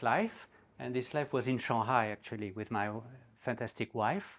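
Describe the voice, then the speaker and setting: A man with a French accent speaks at a moderate pace with ordinary pitch variation. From France, Normandy. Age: 60s. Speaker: newspaper editor and guest speaker. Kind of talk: talk to a community group. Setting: community event with audience.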